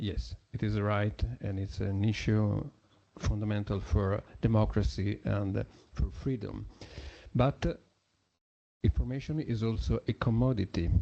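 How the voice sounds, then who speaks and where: A man with an Italian accent speaks at a fairly slow pace in a fairly low, dark and mellow voice, his intonation lively and his speech broken by long, frequent pauses. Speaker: journalist. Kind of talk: conference talk. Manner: halting.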